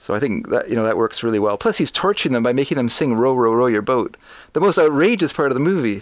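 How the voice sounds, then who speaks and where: In a Canadian accent, a man talks at a very fast pace and a medium pitch, with lively intonation and very even loudness. The recording is very clean, with a silent background. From Canada. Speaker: podcast guest, film commentator. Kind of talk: casual chat, film review.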